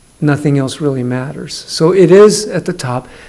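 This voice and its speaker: At a moderate pace, a man with fairly high pitch and ordinary pitch variation speaks over noticeable background noise. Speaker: school district superintendent. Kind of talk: presentation at council meeting. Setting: council meeting room. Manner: loud.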